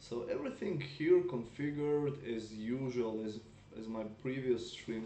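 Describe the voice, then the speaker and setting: Speaking at a fairly slow pace in a medium pitch, a man is heard with audible room echo. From Russia. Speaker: mobile game streamer. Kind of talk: live gameplay stream chat. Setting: live stream on laptop.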